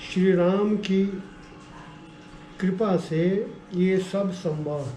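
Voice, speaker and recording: A man talks in a high pitch with fairly even intonation. Noticeable background noise sits behind him. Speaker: religious text reciter. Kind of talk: scripture reading with explanation.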